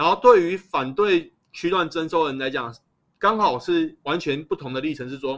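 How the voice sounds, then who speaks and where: In a very clean recording with a silent background, a man speaks at a moderate pace in a normal speaking voice with a fairly high pitch. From Taiwan, Taipei (Shezi Island). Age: 30s. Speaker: local resident researching urban planning. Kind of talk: podcast interview.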